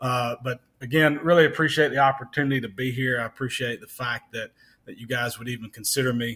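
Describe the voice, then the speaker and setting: This is a man with a Mississippi accent and a medium-pitched voice. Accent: Mississippi Southern. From US South, Vicksburg, Mississippi. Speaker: trade association executive director. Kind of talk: podcast interview. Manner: hesitant with frequent fillers and repeats.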